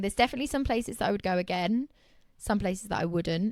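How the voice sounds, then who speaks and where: A medium-pitched woman's voice with a southern English accent. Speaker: interior designer. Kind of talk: casual chat.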